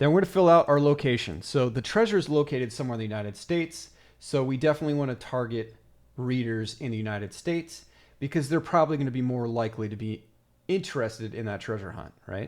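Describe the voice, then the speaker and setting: A man at a very fast pace with lively intonation, on a very clean recording with a silent background. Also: medium pitch for a man. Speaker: author and book publisher. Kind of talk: tutorial. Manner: casual, filler-laden.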